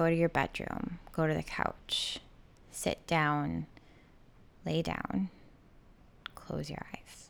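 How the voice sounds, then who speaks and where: In a very clean recording with a silent background, a woman speaks very slowly in a soothing, calm tone. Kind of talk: guided meditation. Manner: slow, soothing, calm and gentle, with deliberate pauses between instructions.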